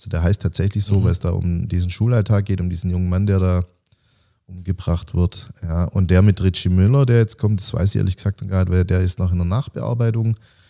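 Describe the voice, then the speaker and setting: Fairly quick and fairly even in intonation, a man's very deep voice has a dark, mellow tone, captured in a very clean recording with a silent background and a dry, close sound with no echo. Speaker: special-needs teacher, author and bit-part actor. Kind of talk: casual interview.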